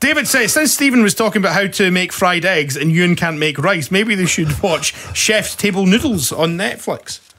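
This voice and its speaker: A man with a Scottish accent speaks in a raised, projected voice at a high pitch. His intonation is lively and he leaves hardly any pauses. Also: moderate pace. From Scotland. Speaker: podcast host. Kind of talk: casual chat. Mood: jovial, laughing. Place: studio. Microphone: studio mic.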